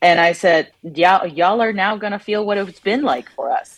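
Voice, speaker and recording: Speaking with a Spanish accent, a woman keeps a moderate pace, medium pitch and ordinary pitch variation. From Latin America. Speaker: reproductive justice advocate. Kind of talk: panel discussion. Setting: remote connection.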